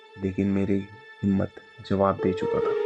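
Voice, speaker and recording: A man's voice with music in the background. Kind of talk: horror story narration.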